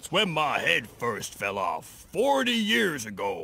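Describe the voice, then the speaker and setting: A man puts on a character voice and delivers his lines at a fairly slow pace. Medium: video game.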